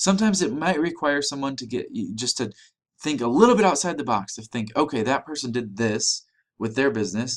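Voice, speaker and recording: The speaker moves at a fairly quick pace with very wide pitch swings. The recording is very clean, with a silent background. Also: man, fairly high pitch for a man. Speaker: online business coach. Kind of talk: sales pitch. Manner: fast; fast-paced.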